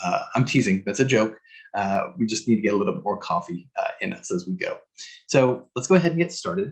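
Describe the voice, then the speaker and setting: A man speaks at a fairly quick pace and medium pitch. His pitch swings very widely. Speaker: psychologist, guest expert speaker. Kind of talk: presentation/webinar talk. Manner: fast.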